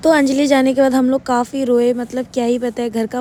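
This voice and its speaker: Over noticeable background noise, a woman talks at a moderate pace with a high pitch and monotone, flat intonation. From Guwahati, Assam, India. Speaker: vlogger. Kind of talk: vlog narration.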